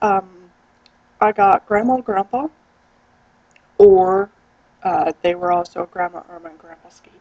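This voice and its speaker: Speaking with an American accent, a woman with a medium pitch and a dark, mellow tone talks at a fairly slow pace, with big swings in loudness and long, frequent pauses, in a dry, close sound with no echo. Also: ordinary pitch variation. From US Midwest, Iowa. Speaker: vlogger. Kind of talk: casual vlog. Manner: animated.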